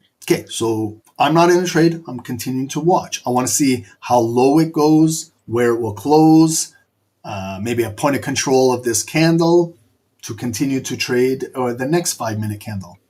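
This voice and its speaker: Speaking with a Canadian accent, a man has a dark, mellow tone, lively intonation and a moderate pace. The recording is very clean, with a silent background. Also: medium pitch for a man. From Canada. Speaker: trading streamer.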